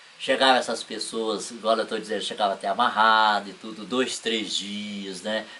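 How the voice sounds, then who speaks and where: A man speaks at a moderate pace in a fairly low pitch, with hardly any pauses. His intonation is monotone and flat. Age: 70s. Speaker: spiritist shelter volunteer. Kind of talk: interview.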